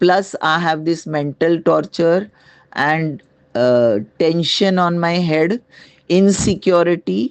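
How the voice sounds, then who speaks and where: Against a quiet background, a woman with an Indian accent speaks at a very slow pace, with very even loudness and ordinary pitch variation. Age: 70s. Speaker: retired resident with a grievance. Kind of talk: complaint testimony. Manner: halting.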